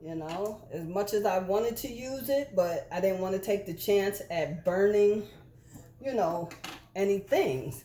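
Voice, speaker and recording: Over noticeable background noise, a woman speaks at a fairly slow pace with a medium pitch and lively intonation. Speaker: embroidery and sublimation crafter. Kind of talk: casual crafting tutorial chat. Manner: loud.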